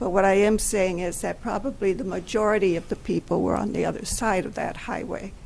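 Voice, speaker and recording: A woman talks at a fairly quick pace with hardly any pauses, her medium pitch held in fairly even intonation. Audible room echo surrounds her voice. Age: 70s. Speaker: longtime resident addressing city council. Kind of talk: personal reminiscence at a public meeting. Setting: city council meeting.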